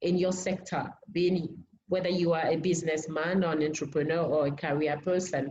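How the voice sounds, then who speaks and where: A woman with a French accent speaks at a moderate pace, her pitch fairly low and her intonation fairly even. Her voice is somewhat breathy. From Benin. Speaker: language academy team member. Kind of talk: online seminar introduction. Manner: halting, many fillers.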